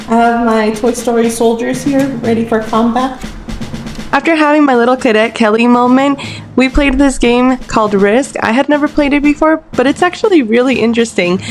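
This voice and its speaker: A woman talks at a moderate pace with a fairly high pitch. Background noise is noticeable. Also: very even loudness. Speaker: travel vlogger. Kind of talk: vlog narration.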